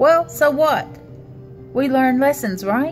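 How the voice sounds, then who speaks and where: A woman's voice over faint music in the background. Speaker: spiritual reader. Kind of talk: motivational monologue. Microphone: phone near.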